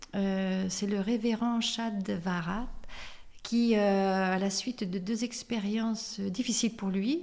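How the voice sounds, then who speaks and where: A somewhat breathy woman at medium pitch and a very slow pace. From France, Limoges. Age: 60s. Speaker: suicide helpline volunteer, association president. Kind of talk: interview. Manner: hesitant, many fillers.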